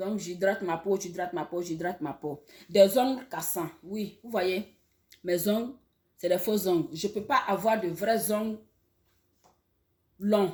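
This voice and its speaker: A woman's voice sounds somewhat breathy. She speaks at a fairly slow pace with long, frequent pauses. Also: medium pitch for a woman, ordinary pitch variation. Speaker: online educator. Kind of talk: health talk to camera. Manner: halting, many repetitions.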